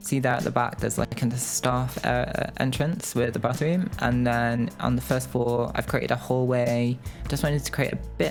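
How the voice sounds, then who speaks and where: A man speaks at a moderate pace. Background music accompanies him. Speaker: video game content creator. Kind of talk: casual voice-over for a game build video.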